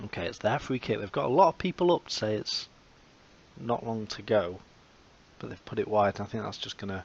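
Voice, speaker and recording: Speaking at a fairly quick pace with an English accent, the man has a fairly low pitch, ordinary pitch variation and big swings in loudness. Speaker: video game commentator. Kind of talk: gameplay commentary.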